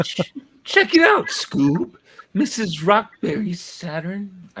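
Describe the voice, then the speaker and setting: A put-on character voice, drawling at a very slow pace with fairly high pitch. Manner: loose, drawling, cartoonish.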